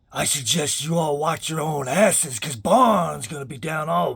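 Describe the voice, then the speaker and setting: A man performs a put-on character voice. It is fairly high-pitched and raspy. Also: moderate pace, lively intonation, big swings in loudness. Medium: solo performance. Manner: blunt, slangy.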